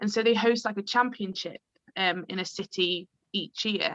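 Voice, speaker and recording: The tone is bright and sharp, with fairly even intonation at a fairly slow pace. The sound is dry and close, with no echo. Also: woman. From northern England, Chorley, Lancashire. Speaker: improviser and improv teacher. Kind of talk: casual chat.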